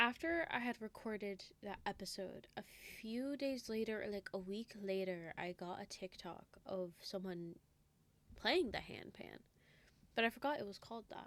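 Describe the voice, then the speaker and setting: A soft-spoken woman's voice at medium pitch, with lively intonation and a moderate pace. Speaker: reaction video creator. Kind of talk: casual reaction commentary.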